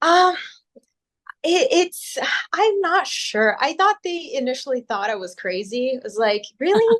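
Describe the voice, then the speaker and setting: An American accent comes from a woman with a high pitch. She speaks at a fairly slow pace with very wide pitch swings. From Brazil. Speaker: critical care doctor. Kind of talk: interview. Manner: hesitant, repeats words.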